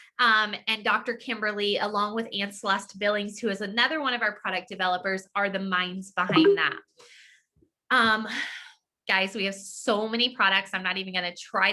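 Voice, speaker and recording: In an unremarkable speaking voice, a woman speaks at medium pitch and a moderate pace with fairly even intonation. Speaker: network marketing distributor. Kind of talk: sales pitch.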